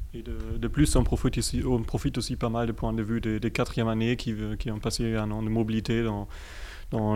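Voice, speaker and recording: The voice has a dark, mellow tone and a German accent. It moves at a fairly quick pace with monotone, flat intonation. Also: man. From Germany. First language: German (speaking French). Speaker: student association co-president. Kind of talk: radio interview. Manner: halting.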